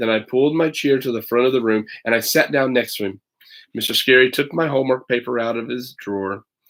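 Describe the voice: Ordinary pitch variation in plain reading aloud, the background quiet.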